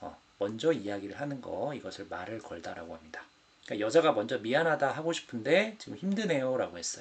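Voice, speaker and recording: There is noticeable background noise around this man's medium-pitched voice. His pitch swings very widely. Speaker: Korean language teacher. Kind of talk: exam explanation lesson. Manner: slow, clear.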